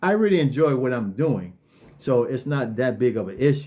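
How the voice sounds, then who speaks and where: This man's fairly high pitch carries lively intonation and a dark, mellow tone at a fairly quick pace. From California. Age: 60s. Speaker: online marketing coach. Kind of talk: live stream talk. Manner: hesitant, many fillers and repetitions; casual.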